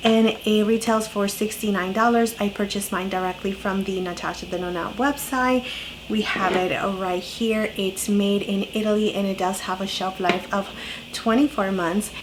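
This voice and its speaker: A woman's intonation stays fairly even while noticeable background noise is present. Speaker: beauty YouTuber. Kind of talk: makeup tutorial talk to camera.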